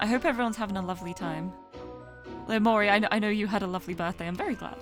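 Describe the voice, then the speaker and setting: With music in the background, a woman speaks in a British accent. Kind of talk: casual. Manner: warm, friendly, greeting an audience.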